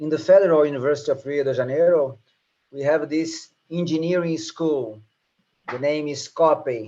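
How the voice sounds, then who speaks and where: With a Portuguese accent, a man talks in a fairly high pitch. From Brazil. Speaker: professor. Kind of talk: lecture. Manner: halting, repeats words.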